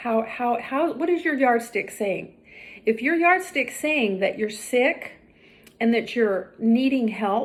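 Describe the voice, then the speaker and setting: Speaking very slowly, a woman with a fairly high pitch uses lively intonation. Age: 60s. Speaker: health and fitness vlogger. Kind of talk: direct-to-camera vlog monologue.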